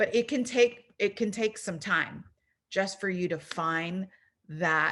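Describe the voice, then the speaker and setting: A woman with an American accent, very slow in pace, medium in pitch, with ordinary pitch variation. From US West Coast, San Diego. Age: 40s. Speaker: arts administrator and workshop presenter. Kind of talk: online workshop talk. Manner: casual, animated.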